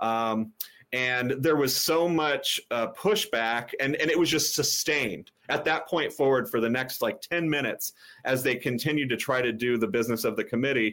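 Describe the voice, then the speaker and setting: This is a man with an ordinary speaking voice at a medium pitch. His loudness stays very even and his pace is moderate. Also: ordinary pitch variation. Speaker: political activist, former candidate. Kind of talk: interview.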